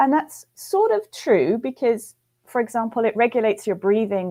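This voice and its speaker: A woman speaks at a fairly high pitch with ordinary pitch variation in a slight British accent. Her tone is dark and mellow on a very clean recording with a silent background. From UK. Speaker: physiology professor. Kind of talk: interview. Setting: live webcast.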